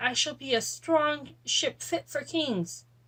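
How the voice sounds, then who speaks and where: A woman puts on a character voice with a high pitch. She speaks at a fairly slow pace. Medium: read story.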